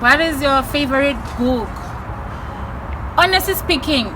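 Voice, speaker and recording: A woman's raised, projected voice at a high pitch and moderate pace, with audible room echo and music in the background. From South Africa, Limpopo and Mpumalanga. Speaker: YouTuber. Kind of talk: casual Q&A vlog. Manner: loud.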